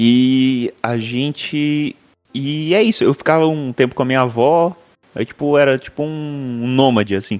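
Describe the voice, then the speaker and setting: A man speaks at a fairly slow pace in a medium pitch, with ordinary pitch variation and music playing in the background. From São Paulo state, Brazil (Mogi/Poá area). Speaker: podcast host. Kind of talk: casual chat.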